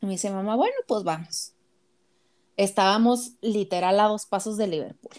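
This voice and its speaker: At a fairly slow pace, a woman speaks. Her pitch sits at a medium level. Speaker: podcast co-host. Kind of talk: casual chat.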